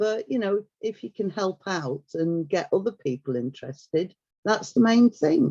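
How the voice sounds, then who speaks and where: Dark and mellow in tone, a woman speaks at medium pitch with very wide pitch swings. Her pace is fairly slow. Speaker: heritage volunteer. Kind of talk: interview. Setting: video call. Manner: chatty.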